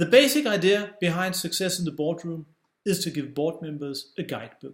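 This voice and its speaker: A high-pitched man's voice at a moderate pace, on a very clean recording with a silent background. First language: Danish. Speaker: publisher and author. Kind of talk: scripted narration.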